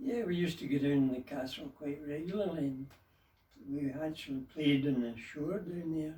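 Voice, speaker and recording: At a moderate pace, a man with a fairly high pitch speaks somewhat breathily, his pitch varying in an ordinary way. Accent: West of Scotland. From Dumbarton, Scotland. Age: 80s+. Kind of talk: interview answer.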